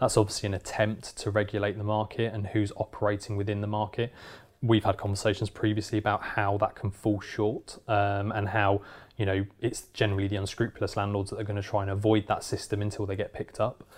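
Over a very clean recording with a silent background, a man with a fairly low pitch talks at a very fast pace, somewhat breathy and monotone with flat intonation. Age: 30s. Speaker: letting agency director. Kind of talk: interview.

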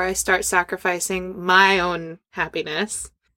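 A woman at medium pitch speaks with a bright, sharp tone. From Scandinavia. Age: 30s. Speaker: performer and business owner. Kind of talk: casual chat. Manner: animated.

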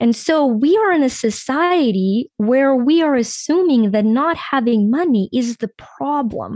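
A woman with a high pitch and lively intonation speaks at a very slow pace. The sound is dry and close with no echo, over a quiet background. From Ukraine. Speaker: life coach. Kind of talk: interview.

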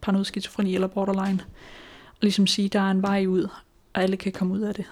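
A woman talks at a medium pitch in a monotone, flat intonation. The recording is very clean, with a silent background. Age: 20s. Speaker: person living with schizophrenia, author. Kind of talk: interview testimony. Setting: home kitchen. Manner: hesitant.

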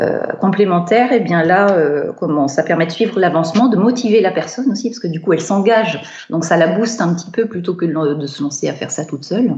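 Noticeable background noise accompanies a woman speaking at a moderate pace, her medium pitch showing ordinary variation. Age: 40s. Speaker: professional home organizer. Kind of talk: remote interview. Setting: remote call. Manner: hesitant, many fillers.

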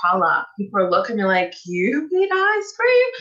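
A woman speaks with a Portuguese accent. Her pace is moderate and her intonation fairly even. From Brazil. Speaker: nutritionist. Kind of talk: interview.

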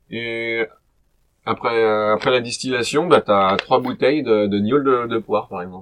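An unremarkable speaking voice from a man, medium-pitched, with ordinary pitch variation and a fairly slow pace. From French Alps. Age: 30s. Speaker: podcast host for French learners. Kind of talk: casual chat. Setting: livestream from a cellar.

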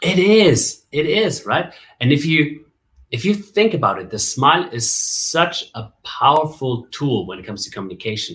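Using vocal fry, a man at a fairly high pitch speaks at a moderate pace with very wide pitch swings and big swings in loudness. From Germany (Bavaria). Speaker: MC and communication coach. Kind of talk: interview. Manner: animated.

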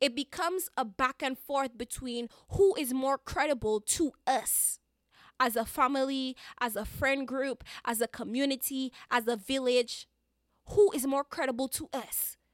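Speaking at a fairly slow pace, a woman with a high pitch and a slight Caribbean accent sounds animated. The recording is very clean with a silent background, dry and close with no echo. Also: ordinary pitch variation. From Dominica, Caribbean. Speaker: podcast host. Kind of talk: solo podcast monologue, conversational. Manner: expressive, animated, repeats words for emphasis.

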